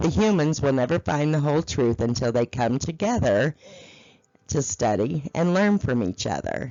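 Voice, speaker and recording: In a raspy put-on character voice, the speaker moves at a moderate pace with very wide pitch swings and very even loudness. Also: woman, very deep, low pitch for a woman. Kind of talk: meditative spiritual storytelling. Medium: read story. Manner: slow, soothing, phrase by phrase.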